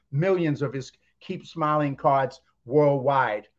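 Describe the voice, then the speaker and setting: This man has a plain, everyday voice with an American accent and a fairly high pitch. His intonation is fairly even, against a quiet background. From US East Coast. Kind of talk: casual interview.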